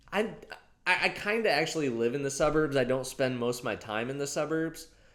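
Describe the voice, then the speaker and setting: Audible room echo surrounds a man whose fairly high voice moves at a moderate pace. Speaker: comedic vlogger. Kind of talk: casual comedic monologue to camera. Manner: warmer voice than usual.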